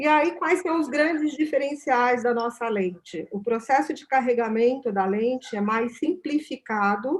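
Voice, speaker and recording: Speaking at a fairly slow pace with hardly any pauses, a woman uses a high pitch and lively intonation. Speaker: company product representative. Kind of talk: product presentation. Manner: halting in English.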